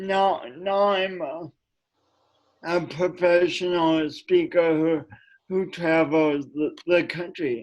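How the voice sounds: Speaking at a very slow pace, a man with an American accent has a high-pitched voice.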